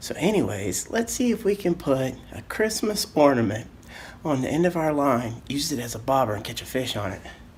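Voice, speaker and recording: Here a man is talking. He whispers. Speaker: fishing show host. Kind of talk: casual vlog narration. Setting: at home, indoors. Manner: whispering a little.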